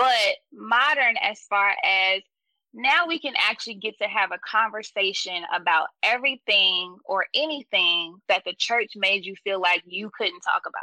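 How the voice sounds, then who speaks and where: Bright and sharp in tone, a woman with an American accent talks at a fairly slow pace in a fairly high pitch with lively intonation, the sound dry and close with no echo. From US South. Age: 30s. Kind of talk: casual interview conversation.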